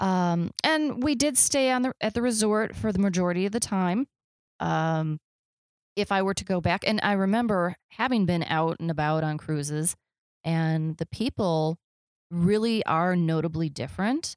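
A woman's medium-pitched voice with an American accent, a normal speaking voice at a moderate pace with lively intonation, in dry, close sound with no echo on a very clean recording with a silent background. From US Midwest. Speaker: travel radio host. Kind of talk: casual chat.

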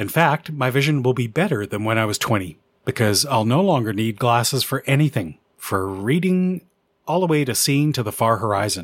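A man with a Canadian accent speaks at a moderate pace and a medium pitch. His pitch swings very widely on a very clean recording with a silent background. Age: 50s. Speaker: amateur radio podcaster. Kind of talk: scripted narration.

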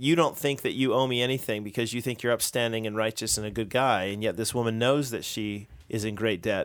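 In a normal speaking voice, a man at medium pitch talks at a fairly quick pace with ordinary pitch variation and hardly any pauses, on a very clean recording with a silent background. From United States. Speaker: pastor, podcast co-host. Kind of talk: casual chat about theology.

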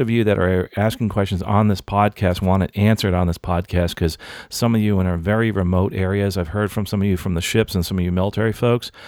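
With a plain, everyday voice, a man talks at a fairly low pitch and a fairly quick pace. The recording is very clean with a silent background and a dry, close sound with no echo. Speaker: podcast host. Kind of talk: podcast interview. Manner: casual, friendly.

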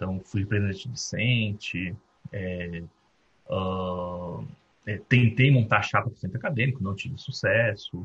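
Speaking in a plain, everyday voice, a man talks at a fairly slow pace with fairly low pitch and ordinary pitch variation. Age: 30s. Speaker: recruiter and company founder. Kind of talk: guest talk at university event.

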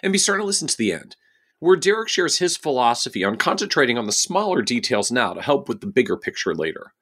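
A man's high pitch at a very fast pace, with very wide pitch swings. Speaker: podcast host. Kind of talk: interview.

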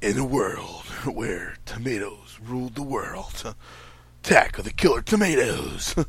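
A man's put-on character voice at a medium pitch and fairly slow pace

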